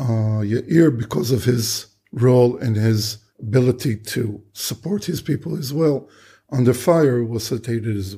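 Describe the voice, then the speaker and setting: Somewhat breathy and dark, mellow in tone, the voice moves at a fairly slow pace with big swings in loudness. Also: man, medium pitch for a man, ordinary pitch variation. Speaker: war veteran. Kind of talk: interview testimony.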